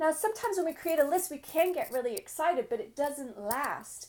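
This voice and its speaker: A woman speaks at a moderate pace in an English accent, her dark, mellow tone moving through very wide pitch swings. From England. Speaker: business coach. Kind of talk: summit presentation. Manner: animated.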